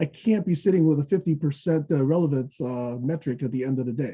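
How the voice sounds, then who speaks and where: Talking at a very fast pace, a man sounds somewhat breathy in a fairly high pitch. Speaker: technology evangelist at a software company. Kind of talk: webinar presentation. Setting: online webinar.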